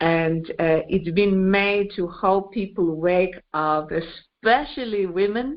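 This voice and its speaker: At a very slow pace, a woman speaks with hardly any pauses. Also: medium pitch for a woman, ordinary pitch variation. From Australia. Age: 50s. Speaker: singer and composer. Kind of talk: interview. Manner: halting, many fillers.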